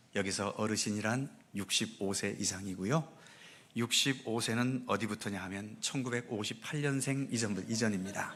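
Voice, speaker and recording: With a plain, everyday voice, a man speaks at medium pitch. His pace is moderate and his pitch variation ordinary. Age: 60s. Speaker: pastor. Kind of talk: church announcements. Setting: church service. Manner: formal.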